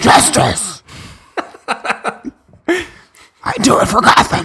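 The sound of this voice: A put-on character voice, gravelly and fairly high in pitch, moves at a very slow pace.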